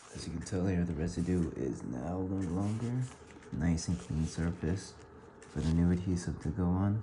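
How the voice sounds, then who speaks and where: Quietly and at a moderate pace, a man speaks with a very deep, low pitch and ordinary pitch variation, with audible room echo and noticeable background noise. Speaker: motorcycle gear tutorial vlogger. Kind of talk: tutorial. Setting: at home at night. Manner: quiet, talking low.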